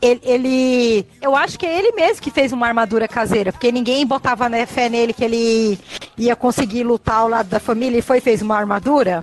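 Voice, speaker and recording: Over noticeable background noise, a high-pitched woman talks at a fairly quick pace with hardly any pauses, very even loudness, and ordinary pitch variation. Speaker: podcast co-host. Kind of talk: casual chat.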